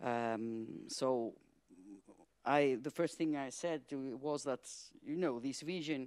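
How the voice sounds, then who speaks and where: A woman at a fairly slow pace with ordinary pitch variation, on a very clean recording with a silent background. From Greece. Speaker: hydrogen industry expert. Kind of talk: panel discussion. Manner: halting.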